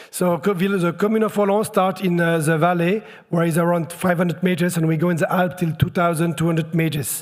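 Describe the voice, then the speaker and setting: Speaking at a fairly quick pace in a French accent, this voice keeps its loudness very even and leaves hardly any pauses. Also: man, high pitch for a man, fairly even intonation. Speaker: local government official. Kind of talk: welcome speech. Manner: halting, many hesitations.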